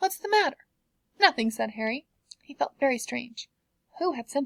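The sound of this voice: Someone reads in an unforced voice over a quiet background.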